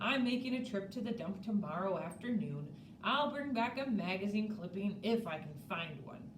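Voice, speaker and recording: A gruff put-on character voice at a moderate pace, with clear background noise. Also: woman, medium pitch for a woman. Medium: read story.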